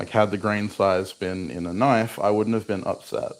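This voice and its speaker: Here a man speaks at a fairly slow pace. His pitch sits fairly low and his intonation stays fairly even. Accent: Australian. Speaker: bladesmith. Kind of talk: casual livestream chat while working. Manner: soft-spoken.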